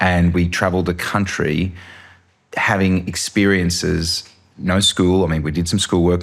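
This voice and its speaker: With an Australian accent, a man speaks at a moderate pace and a very deep, low pitch over noticeable background noise. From Australia, Sydney. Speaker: filmmaker. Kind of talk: interview. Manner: animated.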